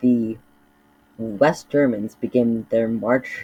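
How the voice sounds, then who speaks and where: Very slow delivery from a man at a medium pitch. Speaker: mapping video creator. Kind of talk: casual commentary narration. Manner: halting, many fillers.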